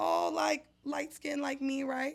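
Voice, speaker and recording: High-pitched and animated in tone, a woman speaks. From San Jose, California (east side). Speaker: podcast co-host. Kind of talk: casual chat.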